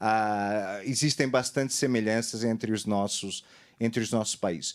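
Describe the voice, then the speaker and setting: A man with a Portuguese accent is heard in a very clean recording with a silent background. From Portugal. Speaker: fraud study consultant on a seminar panel. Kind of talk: panel presentation. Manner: halting, many fillers.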